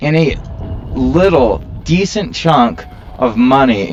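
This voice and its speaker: A man's pitch swings very widely as noticeable background noise plays behind him. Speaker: gaming video creator. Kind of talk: unedited gameplay commentary. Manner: candid, casual.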